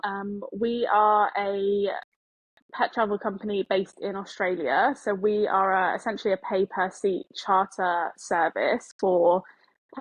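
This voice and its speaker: In an English accent, a woman talks at a moderate pace with a medium pitch and ordinary pitch variation. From England, Devon. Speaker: pet travel business founder. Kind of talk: podcast interview. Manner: hesitant, many fillers.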